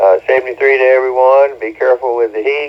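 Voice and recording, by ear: A man speaks at a medium pitch and a fairly quick pace, his intonation fairly even.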